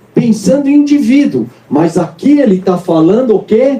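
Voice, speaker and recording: Animated in tone, a man's voice swings very widely in pitch. There is noticeable background noise. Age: 60s. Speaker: pastor. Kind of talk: sermon.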